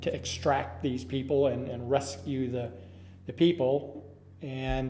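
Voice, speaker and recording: A man at a medium pitch and moderate pace with an Upper Midwest accent and ordinary pitch variation. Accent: Upper Midwest American. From Minnesota. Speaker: Air Force veteran. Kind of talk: oral history interview answer.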